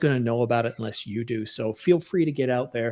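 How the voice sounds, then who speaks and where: In a very clean recording with a silent background, a man talks at a fairly quick pace in an ordinary speaking voice. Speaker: photographer and YouTuber. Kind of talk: casual chat.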